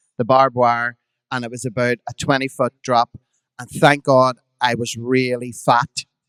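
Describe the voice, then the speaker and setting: A man in a Belfast accent, flat and monotone at a moderate pace, with a dry, close sound and no echo. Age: 50s. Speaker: drag performer. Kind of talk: storytelling on a live podcast. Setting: stage with audience.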